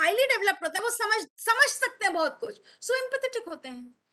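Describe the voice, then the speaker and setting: A woman with a Bengali accent talks at a fairly quick pace. Her voice is raised and projected, with a bright, sharp tone. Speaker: teacher trainer. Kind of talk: online teacher training talk, mixed English and Hindi. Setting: video call webinar.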